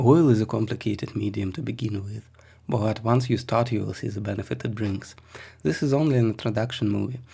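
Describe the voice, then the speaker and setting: With a Russian accent and some vocal fry, a man talks fairly quickly in a fairly low voice with a dark, mellow tone. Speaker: miniature painter and art teacher. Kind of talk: tutorial.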